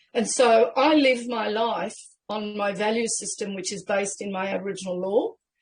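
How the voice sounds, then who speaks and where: Intonation holds fairly even. There is a somewhat breathy quality to the voice. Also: woman. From Australia. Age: 60s. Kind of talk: interview.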